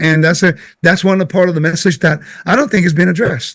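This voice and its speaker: A man speaks with a Puerto Rican accent. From Puerto Rico. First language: Spanish. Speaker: Bible teacher. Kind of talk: casual teaching conversation.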